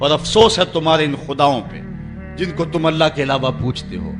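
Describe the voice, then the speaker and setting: Music plays in the background. Over it, a man talks at a fairly high pitch. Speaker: Islamic preacher. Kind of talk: Islamic sermon (bayan) on a prophet's story. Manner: passionate, emphatic, oratorical.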